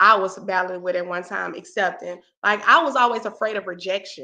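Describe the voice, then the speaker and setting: A woman with a Southern US accent speaks in a bright, sharp, animated tone. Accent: Southern US, country. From US South. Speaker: talk show host and motivational speaker. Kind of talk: casual chat.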